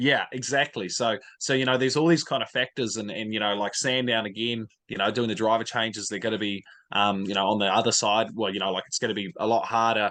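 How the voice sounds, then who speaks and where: A man with a New Zealand accent, medium pitch and a bright, sharp tone, very fast pace and fairly even intonation, over a quiet background. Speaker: motorsport fan content creator. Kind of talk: casual chat. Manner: many fillers and repetitions.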